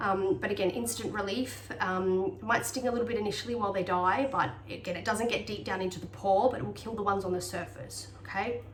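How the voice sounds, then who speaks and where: A woman talks at a very fast pace, hardly pausing at all. Noticeable background noise and audible room echo surround her. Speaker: health vlogger sharing personal remedies. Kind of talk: casual tutorial monologue. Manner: hesitant, many fillers.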